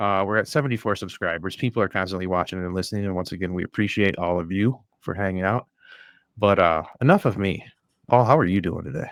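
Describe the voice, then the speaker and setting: A man with a strong Midwest accent and a fairly low pitch talks at a very fast pace, animated in tone and lively in intonation, on a very clean recording with a silent background. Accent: thick Midwest. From US Midwest. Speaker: podcast host. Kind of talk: casual chat.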